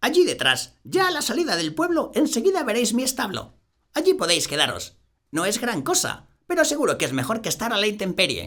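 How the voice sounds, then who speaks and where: Using a put-on character voice, a man talks at a fairly quick pace and an extremely high pitch with very wide pitch swings. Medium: read story. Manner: warm, homely.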